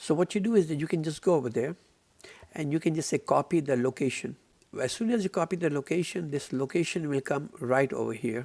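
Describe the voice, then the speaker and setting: A man's ordinary speaking voice, fairly high in pitch, with ordinary pitch variation, a fairly quick pace and a dry, close sound with no echo. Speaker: software trainer. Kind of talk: tutorial.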